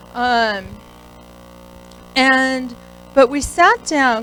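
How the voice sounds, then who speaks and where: A woman with an American accent speaks with ordinary pitch variation over music in the background. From US West Coast, San Francisco. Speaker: company CEO, guest speaker. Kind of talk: motivational talk. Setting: stage with audience, podium. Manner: loud; casual, improvised.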